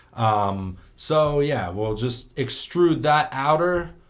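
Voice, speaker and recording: Amid audible room echo, a man with a fairly high pitch speaks with lively intonation. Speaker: 3D art tutorial youtuber. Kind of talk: tutorial. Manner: casual.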